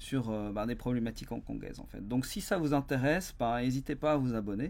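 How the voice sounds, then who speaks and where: A man speaks with a Belgian accent. His pace is moderate. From Belgium. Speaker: business consultant and company founder. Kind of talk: YouTube explainer monologue. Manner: hesitant, many fillers and repetitions.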